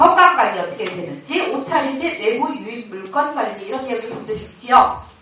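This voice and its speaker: A woman's high voice swings very widely in pitch amid audible room echo and noticeable background noise. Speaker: safety education instructor. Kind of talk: lecture. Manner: loud.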